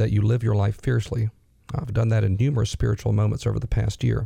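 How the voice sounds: In a raspy, dark, mellow tone with vocal fry, a man speaks at a fairly low pitch with little pitch movement.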